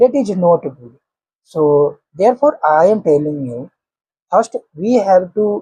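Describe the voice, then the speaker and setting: Very slow speech in an Indian accent. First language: Hindi. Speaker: English-speaking coach, YouTuber. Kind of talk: motivational talk to camera, unscripted.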